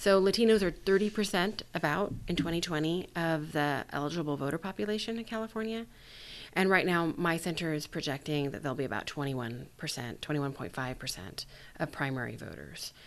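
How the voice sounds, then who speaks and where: With an unremarkable speaking voice, a woman talks at a fairly low pitch and a fairly quick pace. Her intonation is lively, and the background is quiet. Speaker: academic researcher. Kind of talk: expert interview.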